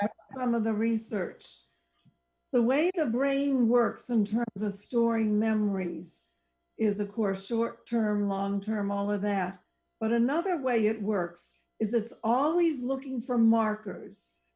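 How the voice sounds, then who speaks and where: A woman speaks very slowly in a fairly high, somewhat breathy voice with a dark, mellow tone. Her loudness stays very even, and her pitch varies an ordinary amount. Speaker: psychologist who counsels clients. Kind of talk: casual radio talk show conversation.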